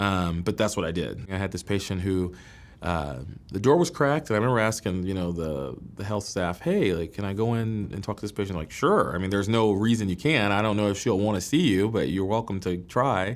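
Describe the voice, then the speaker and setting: Using a plain, everyday voice, a man with a fairly low pitch speaks at a fairly quick pace with ordinary pitch variation. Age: 30s. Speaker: medical student, former school principal. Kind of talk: interview testimony. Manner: casual, with frequent fillers and restarts.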